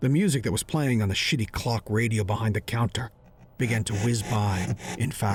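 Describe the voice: With ordinary pitch variation, the text is given as plain reading aloud.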